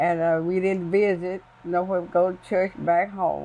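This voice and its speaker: A woman at a moderate pace with an American accent, fairly low in pitch, dark and mellow in tone, monotone and flat in intonation. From US South, northwest Louisiana. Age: 90s. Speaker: family elder. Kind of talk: interview. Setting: in her home.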